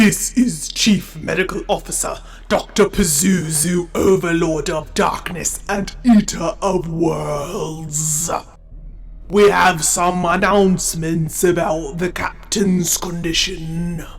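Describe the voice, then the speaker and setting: A man's put-on character voice, high in pitch and very slow, with clear music in the background. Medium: audio drama. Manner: formal, measured.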